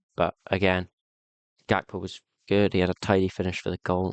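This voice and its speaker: Recorded with a dry, close sound and no echo, a man speaks fairly quickly in a very deep, low pitch. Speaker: football YouTuber. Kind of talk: match reaction monologue. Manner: fast.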